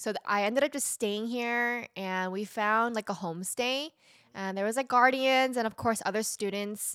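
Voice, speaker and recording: A woman with an American accent speaks at a moderate pace with a fairly high pitch, ordinary pitch variation and a bright, sharp tone. The recording is very clean, with a silent background. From Southern California. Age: 20s. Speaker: recent graduate, nonprofit founder. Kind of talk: casual chat.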